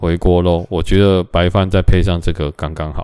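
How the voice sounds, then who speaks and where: A man's voice sits very deep and low, with a dark, mellow tone. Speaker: podcast host. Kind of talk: casual solo talk. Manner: rambling with many fillers.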